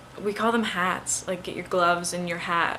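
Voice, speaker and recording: A woman's voice with audible room echo. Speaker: student. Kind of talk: casual monologue. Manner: hesitant, many fillers.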